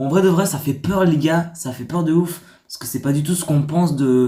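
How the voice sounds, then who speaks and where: With audible room echo around him, a man talks at a fairly high pitch with ordinary pitch variation. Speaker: YouTuber. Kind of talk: casual vlog reading stories. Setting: dim room. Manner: soft-spoken.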